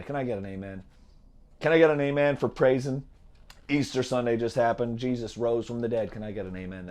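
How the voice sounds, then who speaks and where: A man puts on a hoarse character voice in a Louisiana accent, pitched in the middle range. He talks very fast with ordinary pitch variation. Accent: Louisiana Southern. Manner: rousing, preaching.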